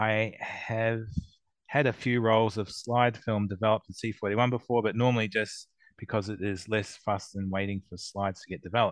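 A man with an Australian accent, fairly low in pitch, his intonation monotone and flat, at a moderate pace over a quiet background. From Melbourne, Australia. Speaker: co-judge. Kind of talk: casual chat.

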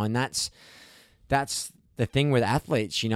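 A man with an Australian accent at medium pitch and moderate pace, ordinary pitch variation, in a very clean recording with a silent background and a dry, close sound with no echo. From Australia, Gold Coast. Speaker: champion paddleboarder and big wave surfer. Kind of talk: casual chat. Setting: in person at a home. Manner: halting, with frequent repeated words.

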